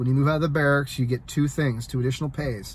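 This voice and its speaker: A man with an American accent speaks in a fairly high, somewhat breathy voice with ordinary pitch variation. The recording is very clean, with a silent background. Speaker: soldier and vlogger. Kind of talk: casual vlog talk. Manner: fast; halting, many fillers.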